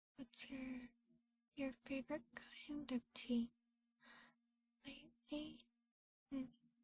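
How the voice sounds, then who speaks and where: A soft-spoken woman talks in a high pitch at a very slow pace with long, frequent pauses and monotone, flat intonation. Her tone is relaxed, and the sound is dry and close, with no echo. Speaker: vtuber, ASMR streamer. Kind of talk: ASMR roleplay stream, soft-spoken chat. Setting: studio, binaural microphone. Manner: soft-spoken, relaxed.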